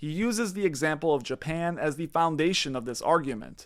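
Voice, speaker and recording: This man has an unremarkable speaking voice, pitched fairly high with ordinary pitch variation, talking at a fairly quick pace on a very clean recording with a silent background. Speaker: finance commentary YouTuber. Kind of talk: scripted video commentary narration.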